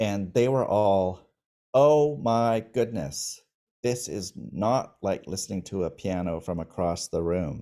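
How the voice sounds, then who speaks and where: Very slow in pace, this dark, mellow voice has lively intonation in a very clean recording with a silent background. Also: man, fairly low pitch for a man. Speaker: pianist. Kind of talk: storytelling interview.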